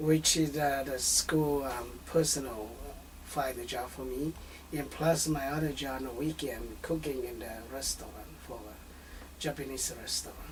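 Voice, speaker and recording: A man at a moderate pace with big swings in loudness, audible room echo and noticeable background noise. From northern Laos. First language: Hmong. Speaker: refugee and bilingual translator. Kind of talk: family interview. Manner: halting, many fillers.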